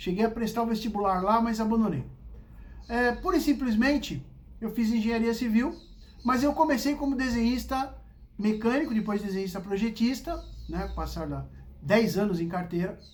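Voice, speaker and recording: A man with a high pitch sounds animated at a moderate pace, using ordinary pitch variation and long, frequent pauses amid audible room echo. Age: 60s. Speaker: vlogger telling life stories. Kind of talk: casual storytelling monologue.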